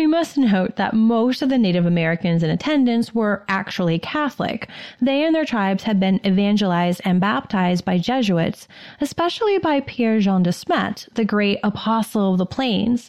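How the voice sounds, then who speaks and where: In a normal speaking voice, a woman talks at a moderate pace and medium pitch with lively intonation. Her loudness stays very even against a quiet background. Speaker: podcast co-host. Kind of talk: dramatic narration of history, storytelling.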